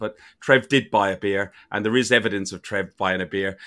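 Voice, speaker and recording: Bright and sharp in tone, an Irish-accented voice moves at a moderate pace on a very clean recording with a silent background. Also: man. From Ireland. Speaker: football podcast host. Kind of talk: casual chat.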